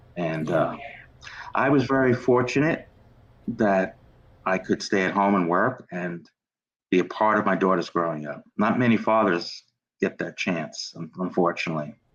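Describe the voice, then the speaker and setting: A man with a New York accent, fairly low pitch, lively intonation and long, frequent pauses. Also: moderate pace. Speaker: children's book author and podcast host. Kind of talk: interview conversation.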